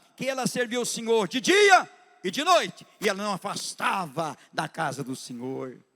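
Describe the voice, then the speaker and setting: Raised and projected, a man's voice carries an animated, bright, sharp tone at a moderate pace. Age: 60s. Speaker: pastor. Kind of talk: sermon. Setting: church.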